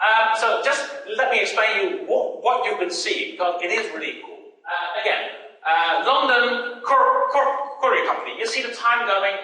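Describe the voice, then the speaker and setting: Over noticeable background noise and audible room echo, a man uses a raised, projected voice at an extremely high pitch, with very wide pitch swings and a moderate pace. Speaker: conference keynote speaker. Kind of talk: conference keynote. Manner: halting, stuttering repetitions.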